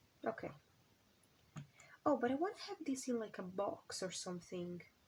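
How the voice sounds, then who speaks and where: A woman with a non-native accent speaks at a moderate pace. Her voice is fairly high and somewhat breathy. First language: not English. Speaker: crafting YouTuber. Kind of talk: casual crafting chat. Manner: halting, many fillers.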